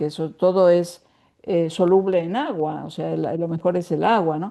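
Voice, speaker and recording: A woman speaks at a fairly slow pace and a fairly low pitch. Her tone is dark and mellow over a quiet background. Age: 70s. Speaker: writer and women's spirituality teacher. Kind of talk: interview.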